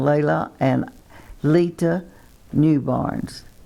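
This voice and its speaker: The voice moves at a very slow pace in a dark, mellow tone with a Texan accent. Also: woman. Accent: Texan Southern US. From Texas. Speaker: twin sister telling life story. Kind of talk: reminiscing, reading memoir aloud. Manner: halting.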